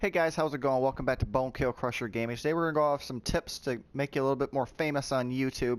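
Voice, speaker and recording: A man talks very fast at a medium pitch with hardly any pauses, on a very clean recording with a silent background. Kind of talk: tutorial. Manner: loud; casual, with fillers.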